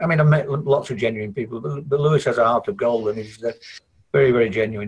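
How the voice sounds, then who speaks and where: A man's very fast, somewhat breathy speech with lively intonation and a northern English accent. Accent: broad northern English. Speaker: IT consultant. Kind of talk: podcast interview. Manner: halting, many repetitions.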